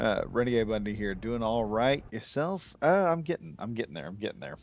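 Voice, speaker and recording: Over a quiet background, a man with a fairly low pitch talks at a moderate pace, his pitch swinging very widely. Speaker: gaming streamer. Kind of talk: live gameplay commentary. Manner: calm.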